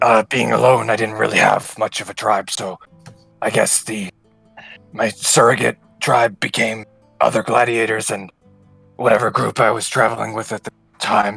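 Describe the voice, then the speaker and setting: A man's raspy put-on character voice at a medium pitch and moderate pace, with long, frequent pauses and faint music in the background. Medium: actual play. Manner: hesitant, halting.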